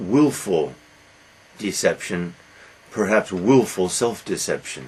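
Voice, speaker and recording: With an American accent, a man talks at a fairly slow pace with vocal fry. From United States. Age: 60s. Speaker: poet. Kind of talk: autobiographical talk. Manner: halting.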